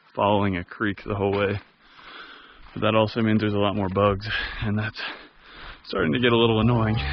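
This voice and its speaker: In a dry sound with no echo, a man with a fairly low pitch talks at a very fast pace with monotone, flat intonation. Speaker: hiker vlogger. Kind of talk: casual vlog chat. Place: open country. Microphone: phone near.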